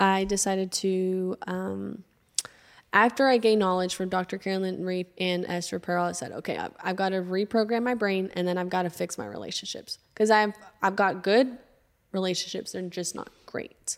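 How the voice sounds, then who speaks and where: An ordinary speaking voice from a woman with an American accent, medium pitch, fairly even intonation and a moderate pace, on a very clean recording with a silent background. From Arkansas, US South. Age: 20s. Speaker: podcast founder and entrepreneur. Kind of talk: casual interview conversation. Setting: studio.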